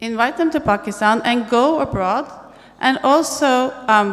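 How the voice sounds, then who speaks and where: A woman speaks in a high pitch with very wide pitch swings. Noticeable background noise and audible room echo are present. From Norway. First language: Norwegian. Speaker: tech event speaker. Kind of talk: on-stage conversation.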